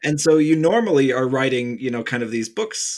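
Using an unremarkable speaking voice, a man with an American accent talks at a fairly quick pace with fairly even intonation. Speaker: podcast host and author. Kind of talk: casual interview.

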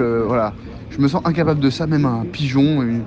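Noticeable background noise accompanies a voice whose pitch varies in an ordinary way. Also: man. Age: young. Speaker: student. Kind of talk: casual voice messages.

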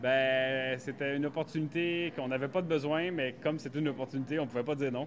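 Fairly even intonation holds throughout this very fast delivery. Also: man, fairly high pitch for a man. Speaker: farmer and farm shop owner. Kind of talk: guided farm tour interview. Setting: on site at farm shop. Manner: hesitant with fillers.

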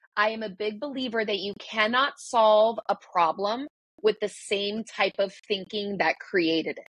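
Recorded dry and close with no echo, a woman speaks fairly slowly in a normal speaking voice, fairly high in pitch with ordinary pitch variation. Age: 40s. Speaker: breakthrough coach and yoga teacher. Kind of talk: interview.

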